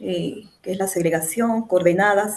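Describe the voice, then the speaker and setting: A woman speaks in an Andean Venezuelan accent at a medium pitch. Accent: Andean Venezuelan (Mérida). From Venezuela, Mérida (Andes). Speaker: mechanical engineer, master's student. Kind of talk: thesis defense presentation. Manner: hesitant, many fillers.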